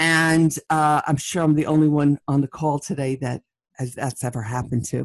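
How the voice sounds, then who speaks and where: A woman with a New York accent at a very deep, low pitch, moderate pace and ordinary pitch variation, in a dry, close sound with no echo. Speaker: leadership keynote speaker. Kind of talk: interview conversation.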